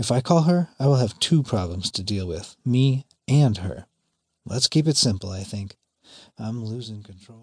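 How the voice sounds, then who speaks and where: A man with a medium-pitched, somewhat breathy voice speaks at a moderate pace with lively intonation. The sound is dry and close with no echo, over a quiet background. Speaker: audiobook narrator and memoir author. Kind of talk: dramatic first-person memoir narration, audiobook reading, intense and present-tense. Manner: urgent, racing, tense, with wry bitter sarcasm on lines like 'Great. Super. Superman.'.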